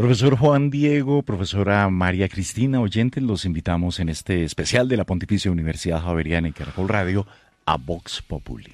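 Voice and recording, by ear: A man speaks at a moderate pace with few pauses, his low voice slightly mellow and his pitch moving in an ordinary way.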